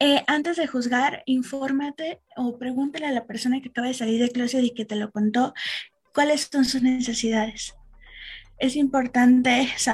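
A woman with a high pitch and fairly even intonation over music in the background. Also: moderate pace. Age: 20s. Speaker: activist. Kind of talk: casual chat.

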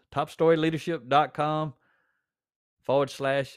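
Recorded very cleanly over a silent background, a man speaks with a Southern US accent at a fairly slow pace. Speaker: podcast host and author. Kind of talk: pep talk, blunt and confrontational, aimed straight at a slacking listener. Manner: direct, plainspoken, forceful, with a fired-up, scolding edge; conversational, with repeated words and fillers.

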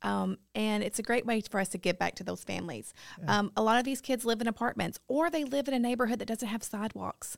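A woman with a Tennessee accent talks at a very fast pace. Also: very clean recording, silent background. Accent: Tennessee Southern. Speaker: preschool ministry director. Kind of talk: casual interview. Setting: studio.

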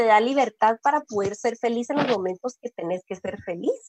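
A woman speaks high-pitched with lively intonation and a Guatemalan accent. The sound is dry and close, with no echo. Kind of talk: interview. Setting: live stream.

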